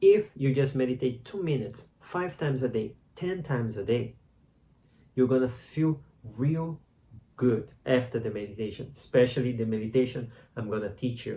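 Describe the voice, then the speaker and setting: This man's voice is somewhat breathy, with a dark, mellow tone, medium pitch, ordinary pitch variation and a moderate pace. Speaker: meditation teacher. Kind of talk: tutorial. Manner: casual, conversational; halting.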